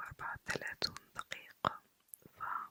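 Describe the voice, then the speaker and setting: A woman is whispering. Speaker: ASMR creator. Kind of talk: ASMR night chat. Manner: whispered, soft-spoken.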